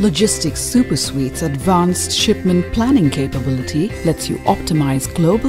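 Clear music plays behind a woman's voice. She speaks at a moderate pace. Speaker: voice actor. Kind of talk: corporate narration. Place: studio. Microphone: studio mic.

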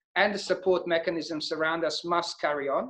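The speaker has a Bosnian accent, heard over a quiet background. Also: man. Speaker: entrepreneur and investor. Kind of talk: online Q&A talk. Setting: video call. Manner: hesitant, many fillers. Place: home room. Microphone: webcam.

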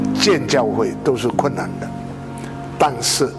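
Over clear music in the background, a man talks at a very slow pace. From Malaysia (Sabah). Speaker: Methodist pastor, itinerant preacher. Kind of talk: interview answer. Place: home room.

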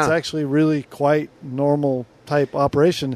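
The audio is dry and echo-free. A man talks at a fairly unhurried pace. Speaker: guest. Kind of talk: interview answer.

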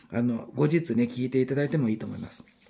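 A man is speaking. His intonation is lively. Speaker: YouTuber announcing spiritual guest talks. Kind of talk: casual monologue. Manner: quieter than usual, family asleep; hesitant, many fillers. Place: home room. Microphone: phone near.

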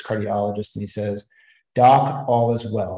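Against a quiet background with audible room echo, a man speaks in a dark, mellow tone. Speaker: presenter. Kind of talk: lecture. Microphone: webcam.

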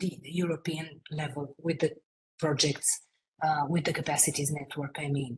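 A woman with a Romanian accent speaks at a moderate pace. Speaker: international project expert; presenter. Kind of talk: webinar presentation. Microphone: video call.

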